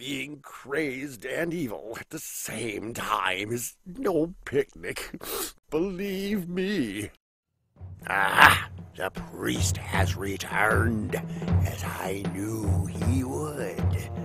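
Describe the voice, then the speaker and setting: In a cartoonish character voice, a man speaks very slowly at a fairly low pitch. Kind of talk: animated cartoon villain acting. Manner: grandiose, mock-menacing, whimsical.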